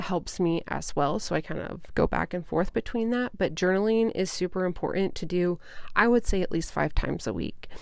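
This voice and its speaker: A woman's ordinary speaking voice, medium in pitch, at a moderate pace with ordinary pitch variation. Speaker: podcast host and mindset coach. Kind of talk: solo podcast talk. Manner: casual, with fillers.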